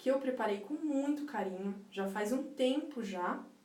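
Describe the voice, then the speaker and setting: A high-pitched woman at a fairly slow pace, with audible room echo and noticeable background noise. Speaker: life coach. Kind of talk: live stream talk. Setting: live stream.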